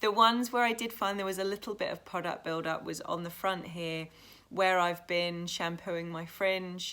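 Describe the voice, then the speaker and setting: A woman with a British accent, fairly low in pitch, bright and sharp in tone, at a moderate pace, on a very clean recording with a silent background. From England. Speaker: YouTuber, tattoo artist. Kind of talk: casual vlog talk to camera.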